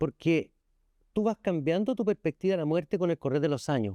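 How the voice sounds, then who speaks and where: A man with a fairly high pitch and a dark, mellow tone talks at a fairly quick pace with lively intonation. The sound is dry and close with no echo, over a quiet background. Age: 60s. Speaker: lawyer and former education minister. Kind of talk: interview conversation.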